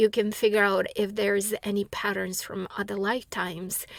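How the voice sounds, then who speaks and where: At a moderate pace, a woman speaks at a medium pitch in a non-native accent. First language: not English. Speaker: spiritual teacher and author. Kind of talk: monologue answering a viewer question. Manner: halting, many fillers and restarts.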